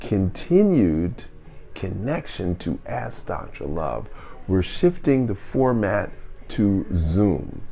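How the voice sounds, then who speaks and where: Amid audible room echo, a man speaks very slowly with very wide pitch swings. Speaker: wellness podcast host. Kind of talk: live q&a show monologue.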